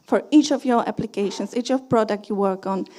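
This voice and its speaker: A woman speaks in a dark, mellow tone with a Polish accent. Her pitch varies in an ordinary way. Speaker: conference speaker, security engineer. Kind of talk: conference talk. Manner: halting, many fillers and restarts.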